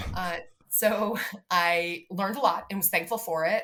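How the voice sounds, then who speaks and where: Bright and sharp in tone, a woman's fairly low voice moves with ordinary pitch variation. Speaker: city sustainability director. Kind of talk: interview. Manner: fast.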